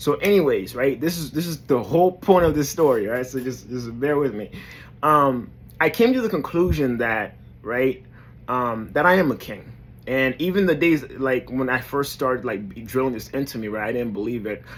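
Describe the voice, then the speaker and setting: Speaking in a New York accent, a man talks at a moderate pace and medium pitch with lively intonation. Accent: New York urban American English. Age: 30s. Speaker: motivational vlogger. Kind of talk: motivational talk to camera. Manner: hesitant, many fillers.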